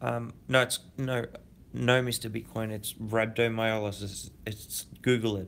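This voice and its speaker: A man with an Australian accent speaks quietly at a fairly slow pace, medium in pitch with monotone, flat intonation. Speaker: crypto YouTuber. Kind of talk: casual livestream chat. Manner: halting.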